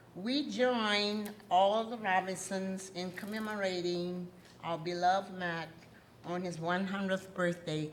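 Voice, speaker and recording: Her fairly even intonation comes across with audible room echo and noticeable background noise as this woman talks. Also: medium pitch for a woman, fairly slow pace. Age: 80s+. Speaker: award recipient on family's behalf. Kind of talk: acceptance speech. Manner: halting.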